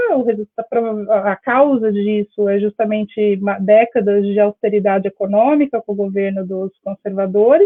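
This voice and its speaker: The pace is moderate, with hardly any pauses throughout. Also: woman. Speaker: Brazilian emigrant guest. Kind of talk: radio interview. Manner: halting, many fillers.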